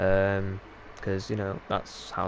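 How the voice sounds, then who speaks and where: Through noticeable background noise, a man with a Yorkshire accent speaks at a fairly low pitch. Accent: Yorkshire, drops T's. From Yorkshire, northern England. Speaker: gaming streamer. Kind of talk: live gameplay stream chat. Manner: casual, filler-heavy.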